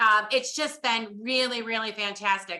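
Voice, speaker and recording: In an American accent, a woman speaks with a fairly high pitch and ordinary pitch variation. Her tone is bright, sharp and animated. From upstate New York. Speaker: social media coach. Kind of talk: webinar presentation.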